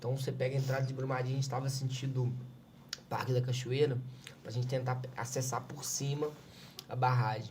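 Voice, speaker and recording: Amid audible room echo, a man talks at a fairly quick pace in a flat, medium-pitched monotone with long, frequent pauses. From Minas Gerais, Brazil. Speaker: civil defense coordinator. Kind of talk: podcast interview, personal testimony.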